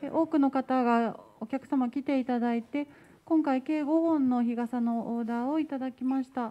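A woman speaks in a high pitch with a dark, mellow tone and fairly even intonation. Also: moderate pace. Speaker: staff member. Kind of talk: report at meeting. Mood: polite, cheerful. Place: hall. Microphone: handheld.

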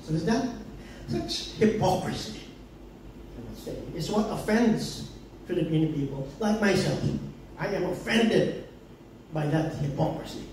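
A man's high-pitched voice with lively intonation at a moderate pace, long, frequent pauses, light background noise, and audible room echo. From Philippines, Davao. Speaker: political commentator. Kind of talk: public forum talk. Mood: indignant, critical. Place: bar.

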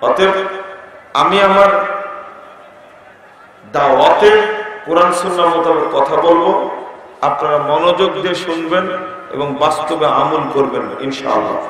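Strong room echo and light background noise surround a man speaking at a high pitch with ordinary pitch variation. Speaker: preacher. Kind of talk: sermon. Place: stage.

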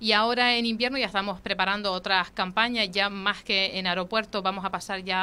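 Bright and sharp in tone, a woman speaks at a moderate pace with fairly even intonation. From Canary Islands. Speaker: local politician. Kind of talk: interview. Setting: studio. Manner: halting. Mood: calm, somewhat defensive. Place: studio. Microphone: studio mic.

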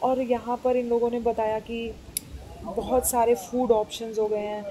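Delivered at a very slow pace in a monotone, flat intonation, the speech has light background noise. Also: woman. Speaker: travel vlogger. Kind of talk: casual vlog chat. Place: hall. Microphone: phone near.

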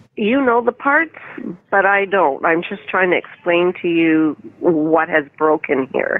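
A woman's ordinary speaking voice, an ordinary speaking voice at a fairly slow pace and fairly low pitch. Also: dry sound with no echo. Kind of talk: phone conversation complaint. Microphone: phone line.

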